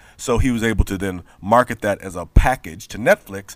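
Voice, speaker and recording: In a plain, everyday voice, a man with an American accent talks at a fairly low pitch with lively intonation on a very clean recording with a silent background. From Memphis, US South. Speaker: comic book writer and poet. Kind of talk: interview.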